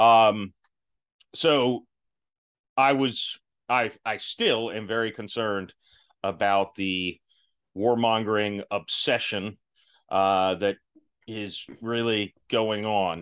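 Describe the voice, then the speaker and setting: A man with a fairly low pitch speaks at a very slow pace, leaving long, frequent pauses. His intonation is fairly even against a quiet background. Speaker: podcast host and actor. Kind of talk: casual chat.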